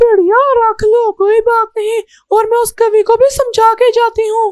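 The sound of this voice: A cartoonish character voice, female-sounding and extremely high-pitched, flat and monotone at a moderate pace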